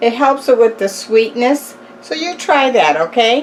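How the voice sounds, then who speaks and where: Over noticeable background noise, a woman speaks in a relaxed tone. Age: old. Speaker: cooking youtuber. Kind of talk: tutorial; casual chat.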